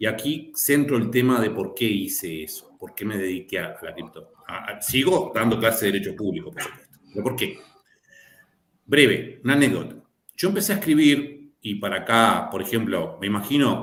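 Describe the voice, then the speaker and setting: A man at medium pitch with a Rioplatense accent, lively intonation and a moderate pace, in audible room echo. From Río de la Plata region (Argentina/Uruguay). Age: old. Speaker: lawyer and law lecturer. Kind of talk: panel discussion.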